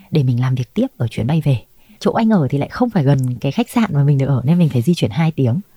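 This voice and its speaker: Speaking very fast, a woman with a very deep, low pitch and a dark, mellow, somewhat breathy tone swings her pitch very widely, recorded with a dry, close sound and no echo. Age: 30s. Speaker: flight attendant. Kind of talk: interview storytelling.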